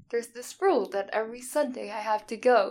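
A woman's fairly high voice on a very clean recording with a silent background. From Philippines. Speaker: guest, university student volunteer. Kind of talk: casual storytelling conversation. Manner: reflective, casual, frequent fillers.

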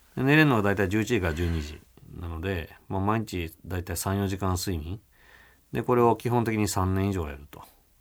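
A man with a very deep, low voice swings widely in loudness, heard in a very clean recording with a silent background. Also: ordinary pitch variation, moderate pace. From Kyoto. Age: 40s. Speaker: Zen Buddhist priest. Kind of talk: interview.

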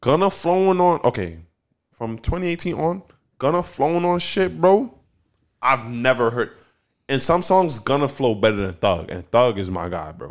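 A man with an American accent talks at a moderate pace and medium pitch, with very wide pitch swings. The recording is very clean, with a silent background. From New York, Brooklyn. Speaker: podcast co-host. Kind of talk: casual chat. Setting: studio. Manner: animated.

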